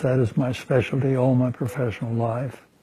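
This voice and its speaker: The man's voice is medium in pitch, somewhat breathy, and dark and mellow in tone. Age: 90s. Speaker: retired heart surgeon. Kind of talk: interview testimony. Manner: halting, frequent filler sounds; calm.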